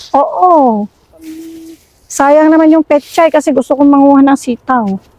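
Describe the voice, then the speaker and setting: Her pitch high and her loudness very even, a woman speaks at a fairly slow pace with ordinary pitch variation, the sound dry and close with no echo. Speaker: vlogger. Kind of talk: casual chat. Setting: outdoors.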